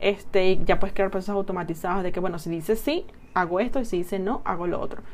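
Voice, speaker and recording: A woman at a medium pitch, talking at a very fast pace. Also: ordinary pitch variation. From Chile. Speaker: podcaster reviewing business software. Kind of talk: casual tutorial monologue.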